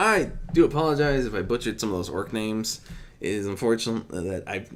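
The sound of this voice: Intonation here is lively. It comes in an unforced reading voice.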